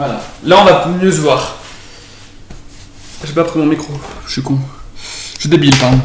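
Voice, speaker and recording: Over noticeable background noise and audible room echo, a man with a fairly high pitch talks at a moderate pace, his intonation fairly even, his loudness swinging widely, with long, frequent pauses. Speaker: home cooking youtuber. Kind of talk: casual cooking vlog. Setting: at home.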